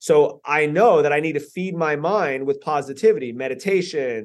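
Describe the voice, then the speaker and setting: With an American accent, a man talks at a moderate pace and fairly high pitch in a plain, everyday voice, his intonation lively over a quiet background. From US, southeast Florida (Lantana, Lake Worth area). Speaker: personal development speaker and investor. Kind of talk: interview conversation.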